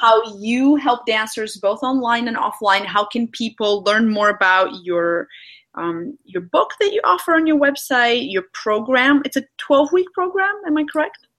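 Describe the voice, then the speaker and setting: With a non-native accent, a woman talks at a moderate pace, her pitch swinging very widely. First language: not English. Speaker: podcast host. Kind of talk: casual interview.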